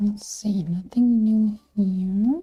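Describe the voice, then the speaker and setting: Very slow speech with a non-native accent. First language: not English. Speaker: gaming streamer. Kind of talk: gameplay commentary. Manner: casual.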